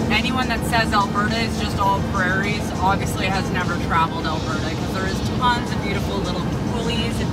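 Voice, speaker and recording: Against clear music in the background, the fairly quick speech has a dry sound with no echo. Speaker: travel vlogger. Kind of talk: casual vlog chat. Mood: enthusiastic, proud. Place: car.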